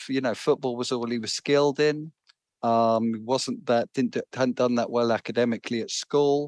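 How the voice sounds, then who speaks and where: In a London accent, a man speaks at medium pitch with ordinary pitch variation, the sound dry and close with no echo against a quiet background. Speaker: author. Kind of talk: interview. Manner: halting, repeats words.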